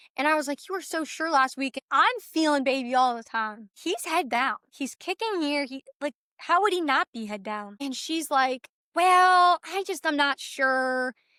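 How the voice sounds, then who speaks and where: A raised, projected voice with a bright, sharp tone, an animated tone and lively intonation moves at a fairly slow pace, the sound dry and close with no echo. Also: woman, high pitch for a woman. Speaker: birth story guest on podcast. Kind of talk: casual chat, personal testimony. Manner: animated storytelling; halting, self-correcting.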